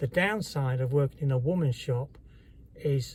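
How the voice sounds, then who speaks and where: A man's dark, mellow, somewhat breathy voice with an English accent, fairly high pitch, and ordinary pitch variation. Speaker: vlogger. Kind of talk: personal testimony. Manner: halting.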